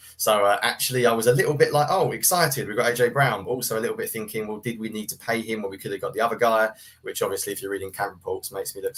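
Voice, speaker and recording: A man races along at a very fast clip with a British accent. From UK. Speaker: sports writer and film analyst. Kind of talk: casual podcast interview.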